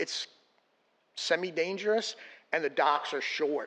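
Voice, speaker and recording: A man talks at a fairly slow pace with a bright, sharp tone and ordinary pitch variation. The background is quiet. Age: 60s. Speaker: public commenter at city meeting. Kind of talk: public comment.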